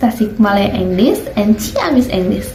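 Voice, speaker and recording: A woman talks while noticeable noise sits in the background. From Indonesia. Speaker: university student. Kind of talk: educational video narration.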